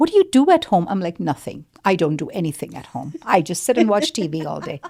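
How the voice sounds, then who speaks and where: The woman's tone is animated and her pace very fast. Her loudness swings widely. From India and Kuwait. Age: 50s. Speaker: life coach. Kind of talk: interview.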